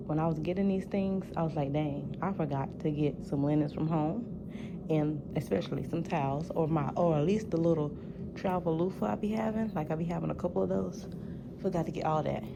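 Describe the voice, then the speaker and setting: A woman talks at a fairly quick pace with lively intonation and very even loudness, her pitch very deep and low. Noticeable background noise and audible room echo fill the recording. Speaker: nursing student and patient care tech vlogger. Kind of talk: casual vlog. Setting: hospital. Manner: whispering.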